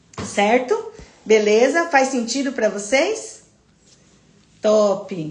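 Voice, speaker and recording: A woman speaks in an animated tone with lively intonation and a fairly high voice. Audible room echo surrounds her. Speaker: nurse teaching a health class. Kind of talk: live online lecture. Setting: livestream.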